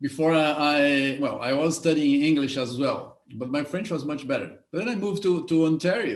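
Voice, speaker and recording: A man speaks with a Brazilian accent. His pitch is fairly high and varies in an ordinary way. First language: Portuguese. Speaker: show host. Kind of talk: interview. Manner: halting, repeats words.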